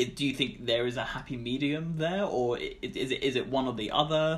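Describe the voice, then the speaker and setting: A man with a British accent speaks at a fairly slow pace. His pitch is fairly high, with ordinary pitch variation. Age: 20s.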